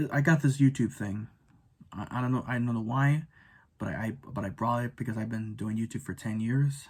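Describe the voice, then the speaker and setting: A man's medium-pitched, somewhat breathy voice with fairly even intonation. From Filipino background. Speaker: YouTuber. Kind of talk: rant video. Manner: halting, many repetitions and stutters.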